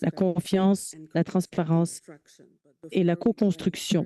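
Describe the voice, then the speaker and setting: A woman with a Quebec accent talks at a fairly slow pace, with fairly even intonation and a dark, mellow tone. The sound is dry and close, with no echo. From Quebec (Sherbrooke). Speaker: patient partner and research coordinator. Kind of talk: conference keynote talk. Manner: hesitant, with filler sounds.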